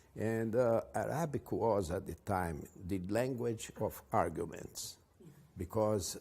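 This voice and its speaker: A man's fairly low, dark and mellow voice, with ordinary pitch variation and a fairly slow pace. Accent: Portuguese. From Brazil. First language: Portuguese. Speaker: advertising executive. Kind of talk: interview. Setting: at his home. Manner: halting.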